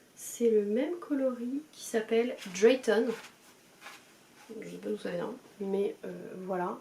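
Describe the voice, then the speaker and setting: The woman talks very slowly, and noticeable background noise is present. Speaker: knitting podcaster. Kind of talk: casual chat. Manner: hesitant, many fillers.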